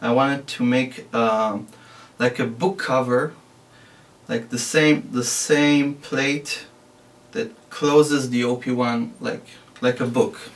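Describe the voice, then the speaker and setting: A man with a non-native accent, fairly high pitch and lively intonation, speaking at a very slow pace with long, frequent pauses. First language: not English. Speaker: DIY maker. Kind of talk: tutorial. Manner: halting.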